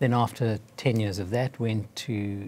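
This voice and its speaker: A man speaks at a medium pitch with ordinary pitch variation. His tone is dark and mellow, and somewhat breathy. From South Africa. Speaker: physician, cardiologist. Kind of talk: interview.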